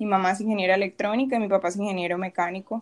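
A woman speaks against a quiet background. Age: 20s. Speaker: podcast co-host, industrial engineer. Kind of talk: casual chat.

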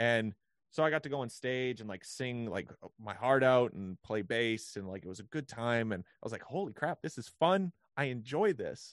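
In a Western Canadian accent, a man of medium pitch speaks at a moderate pace with lively intonation, the sound dry and close with no echo against a quiet background. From Canada, British Columbia (Vancouver). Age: 20s. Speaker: musician. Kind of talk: casual chat.

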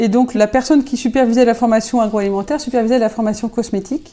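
A woman talks at a fairly quick pace. Her fairly high voice has a dark, mellow tone. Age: 50s. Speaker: cosmetics company founder. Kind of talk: interview. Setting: company factory.

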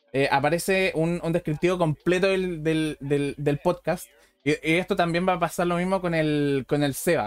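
A man speaks at a moderate pace with a Chilean accent. The sound is dry and close with no echo, and his pitch varies in an ordinary way. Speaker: podcast host. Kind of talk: casual chat. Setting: live stream. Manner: animated.

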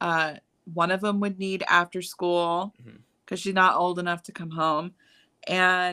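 In a very clean recording with a silent background, a woman with an American accent speaks fairly slowly at a medium pitch, with a bright, sharp tone and fairly even intonation. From Chicago, US Midwest. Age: 30s. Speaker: writer and blogger. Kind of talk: casual chat.

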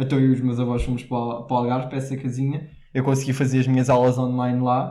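In audible room echo, a man with a European Portuguese accent speaks very fast at a medium pitch in a dark, mellow tone. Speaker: podcast co-host. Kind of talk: casual chat. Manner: animated.

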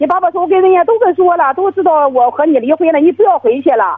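The speech moves at a fairly quick pace, with very wide pitch swings. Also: woman. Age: 40s. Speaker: caller, divorced grandmother minding a shop. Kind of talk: phone-in call. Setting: phone call. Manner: halting, many fillers.

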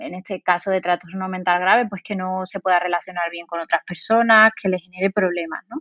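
A woman's ordinary speaking voice, medium in pitch, at a fairly quick pace with hardly any pauses, fairly even intonation and big swings in loudness. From Spain, Seville. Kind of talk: interview.

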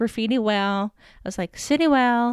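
A plain, everyday voice moves at a moderate pace with fairly even intonation. The recording is very clean, with a silent background and a dry, close sound with no echo. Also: woman. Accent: American. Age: 20s. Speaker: podcast host. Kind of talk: personal storytelling monologue.

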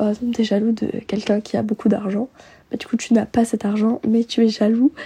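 A woman talks at a fairly quick pace in a dark, mellow tone with a husky, rough edge and little pitch movement.

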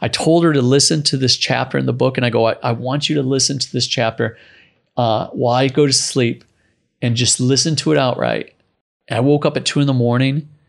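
A man with an ordinary speaking voice talks fairly quickly at medium pitch with fairly even intonation. His loudness stays very even against a quiet background. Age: 40s. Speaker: entrepreneur and surfer. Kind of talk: interview.

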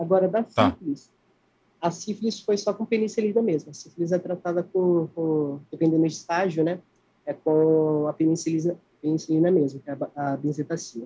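The man's voice sits at a high pitch and carries a dark, mellow tone. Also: ordinary pitch variation, moderate pace. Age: 20s. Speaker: interviewee living with HIV. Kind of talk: interview. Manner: halting.

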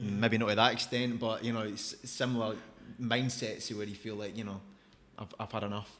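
The speaker has a Scottish accent and a moderate pace. The intonation is monotone and flat. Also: man, medium pitch for a man. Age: 30s. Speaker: podcast host. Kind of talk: casual interview chat.

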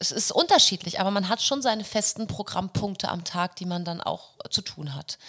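A woman's bright, sharp tone at medium pitch, fairly slow in pace, with ordinary pitch variation. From Hamburg, northern Germany. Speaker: pop schlager singer and musical performer. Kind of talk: casual interview chat.

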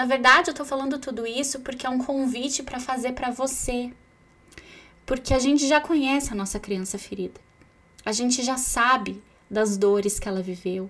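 Against noticeable background noise, a woman talks at a moderate pace with a high pitch. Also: ordinary pitch variation. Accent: Brazilian. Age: 30s. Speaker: psychologist podcast host. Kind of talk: solo podcast talk.

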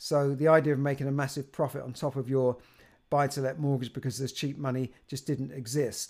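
A man with a British accent speaks at a moderate pace and a fairly high pitch. The recording is very clean, with a silent background. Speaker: personal finance youtuber. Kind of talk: solo video monologue. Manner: halting, with many repeated words.

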